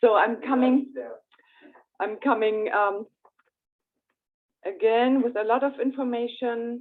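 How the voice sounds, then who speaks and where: A woman's high voice with a German accent, fairly even intonation and a fairly slow pace broken by long, frequent pauses. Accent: German accent, noticeable. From Germany. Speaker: astrologer. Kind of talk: presentation. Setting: hybrid in-person meeting streamed on Zoom.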